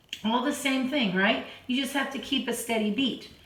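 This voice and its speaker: A woman's high voice amid noticeable background noise and audible room echo. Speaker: piano teacher. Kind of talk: tutorial. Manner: counting beats aloud, steady.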